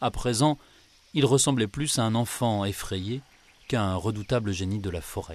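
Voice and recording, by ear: Someone reads a text aloud using a natural voice.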